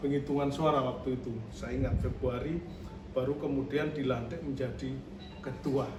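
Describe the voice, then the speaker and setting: A man with a Javanese accent speaks at a moderate pace and a fairly high pitch. The recording has audible room echo and noticeable background noise. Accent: Javanese-sounding Indonesian. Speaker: podcast host. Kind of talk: podcast interview.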